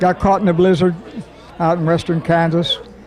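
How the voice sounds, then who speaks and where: Over crowd noise in the background, a man with a high pitch speaks in a monotone, flat intonation at a moderate pace. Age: 80s+. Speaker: WWII navy veteran. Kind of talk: oral history storytelling. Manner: halting, repetitive.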